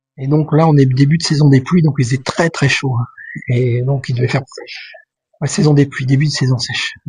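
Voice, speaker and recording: A man's fairly high-pitched voice at a fairly quick pace, with fairly even intonation and long, frequent pauses. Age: 60s. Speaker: vlogger. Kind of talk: casual vlog monologue. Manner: hesitant, many fillers.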